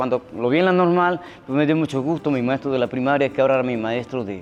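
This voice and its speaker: A man's fairly high voice at a fairly quick pace with ordinary pitch variation, against noticeable background noise. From Veracruz, Mexico (Xalapa). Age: 60s. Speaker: musician. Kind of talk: interview testimony. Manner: hesitant, many fillers.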